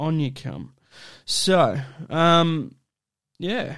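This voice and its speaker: A man talks at a very slow pace. His fairly high voice has ordinary pitch variation. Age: 30s. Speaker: podcast host. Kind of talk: casual solo monologue. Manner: halting, many fillers.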